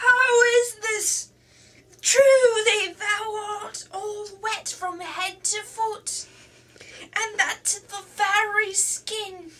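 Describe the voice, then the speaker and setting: A woman puts on a character voice with an extremely high pitch. She speaks very slowly. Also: fairly even intonation. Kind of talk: archaic storybook dialogue. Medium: read story.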